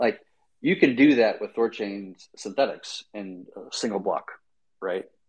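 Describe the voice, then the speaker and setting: In a normal speaking voice, a man talks at a fairly slow pace with big swings in loudness. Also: medium pitch for a man, ordinary pitch variation. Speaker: crypto podcast host. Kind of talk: casual technical discussion on a live audio space.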